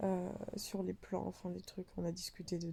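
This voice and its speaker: Somewhat breathy, a woman speaks in a dark, mellow tone. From France. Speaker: vlogger, postdoctoral researcher. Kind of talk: casual vlog storytelling. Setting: in a dark bathroom during power cut. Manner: casual, many fillers.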